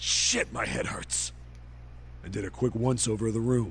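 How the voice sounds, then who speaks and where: A gruff put-on character voice at a moderate pace, with clear background noise. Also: man. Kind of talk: hard-boiled voice-over. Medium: machinima. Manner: gruff, swearing.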